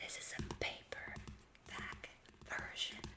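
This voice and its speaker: A woman whispering amid noticeable background noise. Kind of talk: casual talk to camera. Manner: whispered; slow, soft-spoken.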